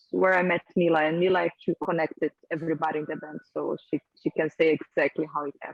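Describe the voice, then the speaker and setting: A woman's fairly low voice with a Portuguese accent and fairly even intonation. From Brazil. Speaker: rock band singer. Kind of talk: interview. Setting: video call.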